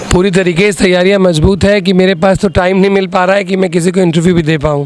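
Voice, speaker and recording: A man speaks at a high pitch and a fairly quick pace. His loudness stays very even over noticeable background noise. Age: 30s. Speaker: politician, parliamentary candidate. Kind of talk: interview. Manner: animated.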